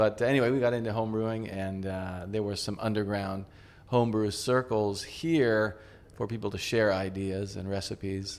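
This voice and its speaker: A man talks in a normal speaking voice with an American accent. His pitch is fairly low and his pace moderate. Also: fairly even intonation. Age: 50s. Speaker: craft brewery co-owner. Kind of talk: casual chat. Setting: in a bar.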